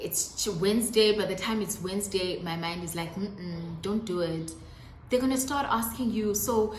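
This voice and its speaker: A woman speaks at a moderate pace with a fairly high pitch and ordinary pitch variation, with audible room echo and noticeable background noise. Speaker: YouTuber. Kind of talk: casual talk to camera, tips. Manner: some stuttering.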